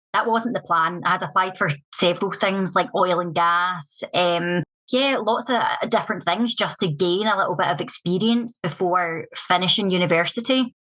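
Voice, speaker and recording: With a Scottish accent, a woman speaks at a moderate pace in a bright, sharp tone and very even loudness. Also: medium pitch for a woman, ordinary pitch variation. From Scotland, west coast near Glasgow. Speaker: whisky master blender. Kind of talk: podcast interview. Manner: casual, with fillers.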